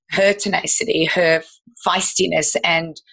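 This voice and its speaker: Her tone is bright and sharp, with an Australian accent. The woman speaks at a fairly slow pace. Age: 50s. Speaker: health educator and business owner. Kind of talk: podcast interview.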